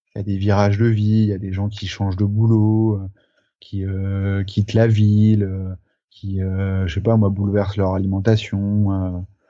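A man's monotone, flat delivery at a fairly slow pace, with music in the background. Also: fairly low pitch for a man. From France, Charente. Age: 30s. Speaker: photographer. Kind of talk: interview. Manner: halting, many fillers.

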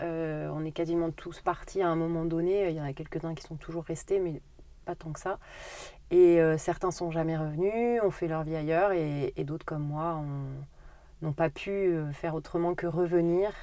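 Recorded very cleanly against a silent background, a woman with an unremarkable speaking voice talks at a moderate pace in a fairly low pitch with fairly even intonation. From Haute-Corrèze, France. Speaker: grocery shop owner. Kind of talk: interview.

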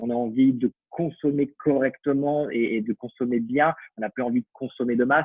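The man's voice shows ordinary pitch variation. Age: 30s. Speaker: fashion association co-founder and digital marketing consultant. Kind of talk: casual interview.

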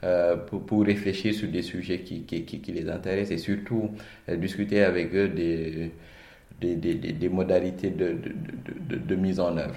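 A dark, mellow voice speaks at a fairly slow pace with fairly even intonation. Room echo is audible. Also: man, very deep, low pitch for a man. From Senegal, Dakar. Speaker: management consultant. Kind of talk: interview. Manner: halting, frequent word repetitions.

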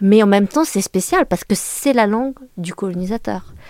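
The sound is dry and close, with no echo, as a woman speaks at medium pitch. Her intonation is lively and her pace moderate. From France, Le Mans. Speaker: journalist and author. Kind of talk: interview. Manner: halting.

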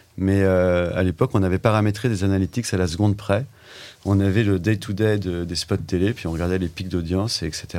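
A dark, mellow tone with fairly even intonation. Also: man, very deep, low pitch for a man. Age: 50s. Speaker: entrepreneur, digital agency co-founder. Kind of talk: casual interview chat.

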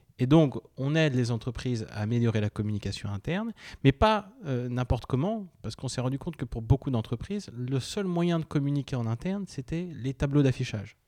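A man's dark, mellow voice comes through dry and close with no echo on a very clean recording with a silent background. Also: medium pitch for a man. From Brittany (Finistère), partly Poland. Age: 20s. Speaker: startup founder and CEO. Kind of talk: interview. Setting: startup hotel in Rennes. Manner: hesitant, many fillers.

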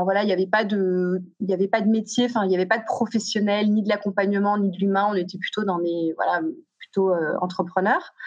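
A woman talks at a medium pitch, varying it in an ordinary way. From southern France (Aix-en-Provence), teens in Paris. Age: 40s. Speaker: youth coach, founder of a teen program. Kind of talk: podcast interview. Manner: halting, many repetitions and fillers.

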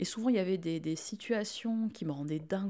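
A woman's dark, mellow tone, with ordinary pitch variation at a fairly quick pace. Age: 30s. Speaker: podcaster. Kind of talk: casual chat.

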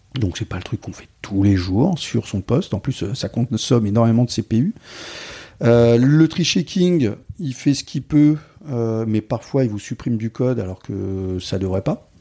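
A man speaks at a fairly slow pace and medium pitch, his intonation lively. The recording is very clean, with a silent background and a dry, close sound with no echo. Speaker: software developer and conference speaker. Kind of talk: podcast interview. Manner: animated.

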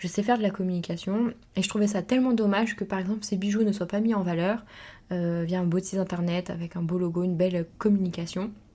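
Over a very clean, silent background, a woman speaks very fast at a medium pitch, her somewhat breathy voice dark and mellow in tone with fairly even intonation. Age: 20s. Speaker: entrepreneur and podcast host. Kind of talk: personal monologue. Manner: halting.

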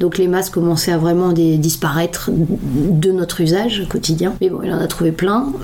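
A woman talks at a fairly low pitch with fairly even intonation and hardly any pauses. Noticeable background noise runs underneath. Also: moderate pace. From northern France, Lille. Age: 30s. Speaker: upcycling designer and activist. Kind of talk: interview.

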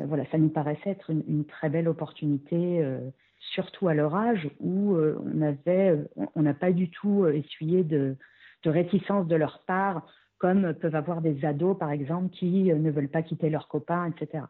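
In a very deep, low voice, a woman speaks at a fairly slow pace with fairly even intonation. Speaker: expatriate mother. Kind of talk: interview testimony.

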